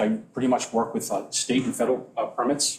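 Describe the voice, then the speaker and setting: A man's medium-pitched voice at a very fast pace, with an American accent. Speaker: environmental consultant. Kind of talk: public hearing testimony. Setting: town board meeting at podium. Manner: halting, many restarts.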